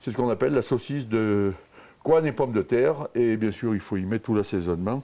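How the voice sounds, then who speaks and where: A man's medium-pitched, unremarkable speaking voice at a moderate pace, with lively intonation. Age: 60s. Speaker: villager, pig butcher. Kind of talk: casual chat.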